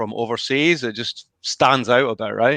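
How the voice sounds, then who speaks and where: In a Scottish accent, a man talks at a fairly slow pace with a bright, sharp tone, the sound dry and close with no echo against a quiet background. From Scotland. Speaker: youtuber. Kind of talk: casual chat.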